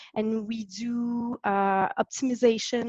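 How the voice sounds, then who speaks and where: Woman with a French Canadian accent, monotone, flat intonation, dry, close sound with no echo, quiet background. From Quebec, French Canada. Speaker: physiotherapist. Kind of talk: interview. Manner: halting, hesitant.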